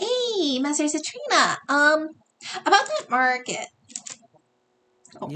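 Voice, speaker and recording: A woman's put-on character voice, high-pitched, squeaky and bubbly in tone, at a fairly slow pace with long, frequent pauses. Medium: game stream. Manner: bubbly, rambling.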